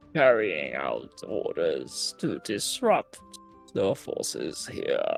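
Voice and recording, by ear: Using a put-on character voice, a man speaks at a very slow pace with faint music in the background.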